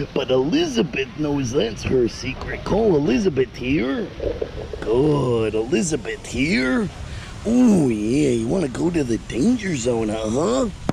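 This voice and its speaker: A man's put-on character voice at medium pitch and a fairly slow pace, with loud background noise. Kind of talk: talking to a pet alligator. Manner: exaggerated macho, swaggering.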